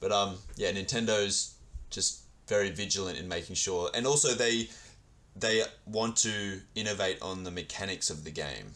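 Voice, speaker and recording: A speaker with an Australian accent talks at a moderate pace, with ordinary pitch variation and a bright, sharp tone. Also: man, fairly low pitch for a man. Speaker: podcast interviewer. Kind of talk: interview.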